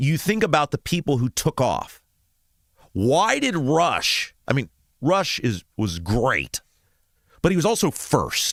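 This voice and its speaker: A man with vocal fry and a fairly high voice talks at a very slow pace with long, frequent pauses, very wide pitch swings and very even loudness, the sound dry and close with no echo. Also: very clean recording, silent background. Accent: American. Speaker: talk show host. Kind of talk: political talk radio monologue.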